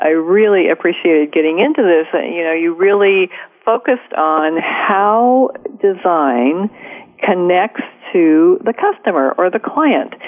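Fairly low female voice with ordinary pitch variation and noticeable background noise. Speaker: radio host. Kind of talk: radio interview.

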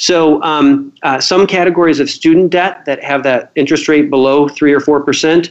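A man with an American accent talks at a moderate pace with hardly any pauses, his fairly high voice keeping very even loudness and fairly even intonation. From US Midwest, Cedar Rapids, Iowa. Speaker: financial planning expert and author. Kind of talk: radio interview.

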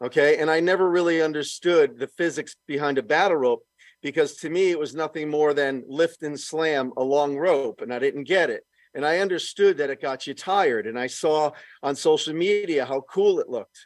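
A man with a normal speaking voice and a fairly high pitch talks at a moderate pace with ordinary pitch variation, in a dry, close sound with no echo and a quiet background. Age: 60s. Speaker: fitness equipment inventor and former personal trainer. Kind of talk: casual interview.

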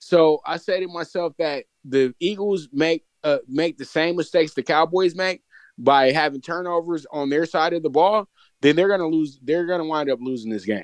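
A man with a plain, everyday voice speaks at a moderate pace with ordinary pitch variation, in a dry, close sound with no echo. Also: fairly high pitch for a man. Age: 30s. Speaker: sports commentator. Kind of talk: casual chat.

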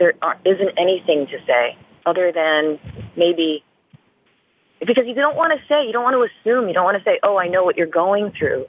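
Talking at a fairly quick pace, a woman with an American accent and medium pitch makes very wide pitch swings. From US South, western North Carolina. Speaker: author and actress. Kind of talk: interview.

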